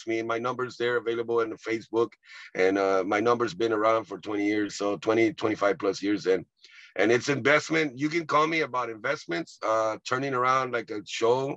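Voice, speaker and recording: A man with a medium pitch talks at a moderate pace with ordinary pitch variation, in a plain, everyday voice, the sound dry with no echo over a quiet background. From Texas, Rio Grande Valley (Edinburg); Texas. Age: 50s. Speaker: comedian and actor; comedian, actor. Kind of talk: casual interview. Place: car. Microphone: video call.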